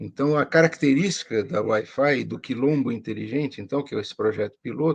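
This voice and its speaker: Speaking at a fairly quick pace with hardly any pauses, a man uses a medium-pitched voice with vocal fry and ordinary pitch variation. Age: 60s. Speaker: professor. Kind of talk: interview.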